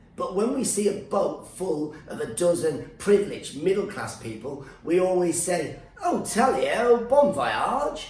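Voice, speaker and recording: A man speaks at a fairly slow pace with a high pitch and very wide pitch swings. Room echo is audible, along with noticeable background noise. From Iran, raised in UK. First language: Farsi. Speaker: stand-up comedian. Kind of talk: comedic rant. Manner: animated.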